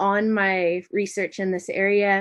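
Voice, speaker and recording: Here is a woman talking. She has an American accent. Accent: American, noticeable in New Zealand. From United States. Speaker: university lecturer. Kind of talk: academic conference presentation. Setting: online event. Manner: hesitant, with many fillers.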